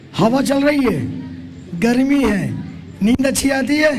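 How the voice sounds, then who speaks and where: Noticeable background noise and audible room echo surround this man's voice. He has an extremely high pitch with ordinary pitch variation. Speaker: preacher. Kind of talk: sermon. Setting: camp hall with audience. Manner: interactive, questioning audience.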